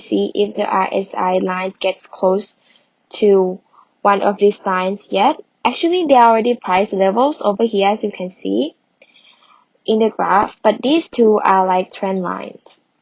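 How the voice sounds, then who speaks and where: An ordinary speaking voice from a woman, medium in pitch, moderately paced and with ordinary pitch variation. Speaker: coding tutorial creator. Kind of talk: tutorial.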